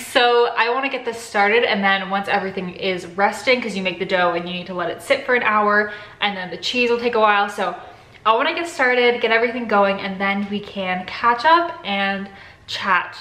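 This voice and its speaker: A woman talks at a fairly quick pace with ordinary pitch variation. Room echo is audible. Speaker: cooking vlogger. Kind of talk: casual vlog chat. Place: kitchen. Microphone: phone near.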